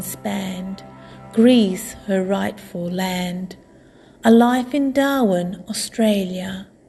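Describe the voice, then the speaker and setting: A woman talks at a very slow pace with ordinary pitch variation while music plays in the background. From Australia. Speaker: artist. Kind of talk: poetry reading.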